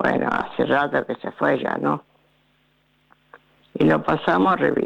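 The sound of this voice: Speaking slowly with vocal fry, a woman uses a low pitch, a slightly husky edge and ordinary pitch variation.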